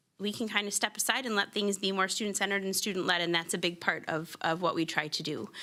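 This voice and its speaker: Loud and bright with a sharp tone, a woman's voice holds fairly even intonation on a very clean recording against a silent background. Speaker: gifted and talented teacher. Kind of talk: presentation to school board. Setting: school board meeting.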